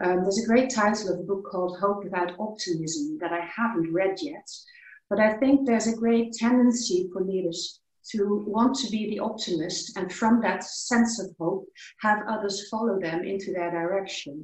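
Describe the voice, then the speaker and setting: A woman with a Dutch accent speaks at a moderate pace, her medium pitch showing ordinary variation. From Netherlands. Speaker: workshop participant. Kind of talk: online group discussion. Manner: hesitant, with fillers.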